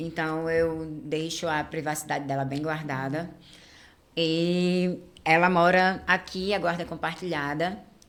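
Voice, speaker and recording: Against audible room echo, a woman speaks fairly slowly at a fairly low pitch, her intonation monotone and flat. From Rio de Janeiro, Brazil. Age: 30s. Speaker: influencer and activist. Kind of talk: casual chat.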